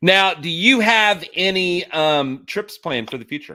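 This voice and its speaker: Pitch swings very widely as a man talks at a fairly slow pace. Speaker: podcast host. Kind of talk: casual interview chat. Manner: loud.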